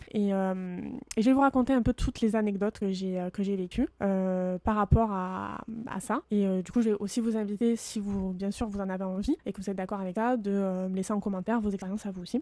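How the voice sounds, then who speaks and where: A woman speaks fairly quickly with a medium pitch and a dark, mellow tone. Her intonation stays fairly even, and the sound is dry and close with no echo. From France, Marseille. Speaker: podcaster. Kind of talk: personal storytelling monologue. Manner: hesitant, many fillers.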